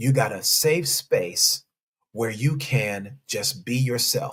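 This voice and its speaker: A man speaks in an animated tone that is somewhat breathy. His pitch variation is ordinary. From South Central Los Angeles. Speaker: relationship coach and pastor. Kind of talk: live stream talk to viewers. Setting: live stream with chat.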